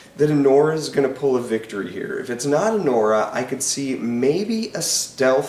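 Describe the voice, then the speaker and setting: A man's fairly high voice carries audible room echo. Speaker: film critic YouTuber. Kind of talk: casual commentary. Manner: hesitant with fillers.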